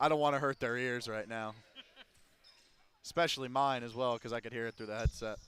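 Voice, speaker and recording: A man with a medium-pitched voice talks at a fairly quick pace with fairly even intonation. He leaves long, frequent pauses. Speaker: basketball color commentator. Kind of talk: live commentary. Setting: in a gym, on headset.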